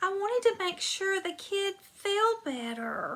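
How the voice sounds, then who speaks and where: In a put-on character voice, a woman speaks at an extremely high, squeaky pitch and a fairly slow pace. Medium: read story. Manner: caring, earnest.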